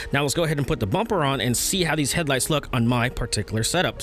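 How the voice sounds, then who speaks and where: Music plays in the background while a man speaks at a very fast pace. His pitch shows ordinary variation. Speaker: car YouTuber. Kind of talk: DIY tutorial. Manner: speaking quietly.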